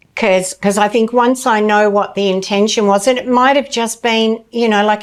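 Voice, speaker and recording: A woman's fairly high pitch in a normal speaking voice, at a moderate pace with hardly any pauses. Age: 60s. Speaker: somatic therapist. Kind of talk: casual chat.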